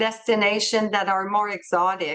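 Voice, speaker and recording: A woman with a French accent at a fairly slow pace against a quiet background. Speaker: travel company representative. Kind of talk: webinar presentation. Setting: video call. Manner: halting, searching for words.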